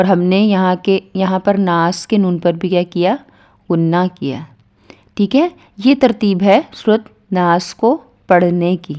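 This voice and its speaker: This woman's voice sits at a medium pitch with a dark, mellow tone. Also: ordinary pitch variation. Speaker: Quran tajweed teacher. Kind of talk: tajweed lesson explanation.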